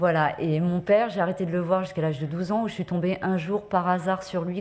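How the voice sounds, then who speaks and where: Her pitch fairly low and her intonation fairly even, a woman speaks at a fairly quick pace. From France, Paris. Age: 40s. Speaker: journalist. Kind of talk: testimony. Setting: conference with audience. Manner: hesitant, many fillers.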